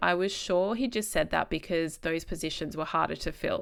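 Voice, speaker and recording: Talking at a fairly quick pace, a woman with an Australian accent swings her pitch very widely. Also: very clean recording, silent background. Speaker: podcast host, speech pathologist. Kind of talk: solo podcast monologue, storytelling. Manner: casual, chatty.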